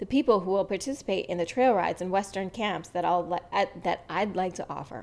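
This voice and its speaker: At a fairly quick pace, a woman talks with a medium pitch. Her pitch varies in an ordinary way. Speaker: podcast host. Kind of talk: reading aloud.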